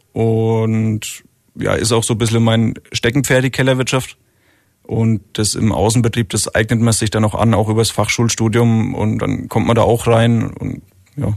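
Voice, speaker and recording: Against a quiet background, a man speaks at a medium pitch in a monotone, flat intonation. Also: fairly slow pace. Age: 30s. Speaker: winemaker. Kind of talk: radio interview.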